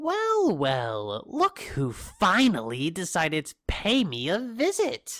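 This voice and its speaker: A put-on character voice at a middle pitch goes at a fairly slow pace. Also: hardly any pauses. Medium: audio drama. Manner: taunting, theatrical, smug.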